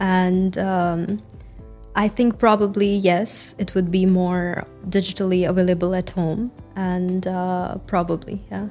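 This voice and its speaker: Music plays in the background. Over it, a woman talks in a medium pitch with monotone, flat intonation. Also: fairly slow pace. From India. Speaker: IELTS test candidate. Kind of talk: interview answer. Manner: fluent.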